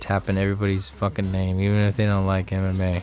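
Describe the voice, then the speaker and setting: Over background music, a man speaks very fast in a fairly low, monotone, flat voice. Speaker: live stream co-host. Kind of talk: casual chat. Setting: live stream. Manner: loud.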